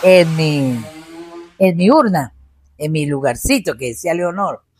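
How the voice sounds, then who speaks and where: A woman's fairly low voice, very slow in pace, with lively intonation. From Colombia, Huila (Pitalito rural area). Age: 70s. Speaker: retired teacher and rural knowledge keeper. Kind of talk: interview conversation. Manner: halting, many fillers and restarts.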